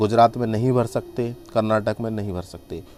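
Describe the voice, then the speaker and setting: Medium-pitched male speech at a fairly slow pace, with fairly even intonation over noticeable background noise. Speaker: online tutor for job exams. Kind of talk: tutorial.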